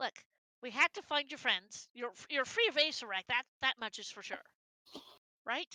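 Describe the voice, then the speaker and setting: The speaker uses a put-on character voice with long, frequent pauses. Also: woman, high pitch for a woman, moderate pace. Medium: actual play. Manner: hesitant, stammering.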